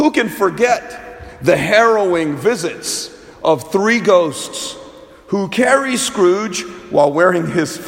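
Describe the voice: The speaker plainly reads aloud.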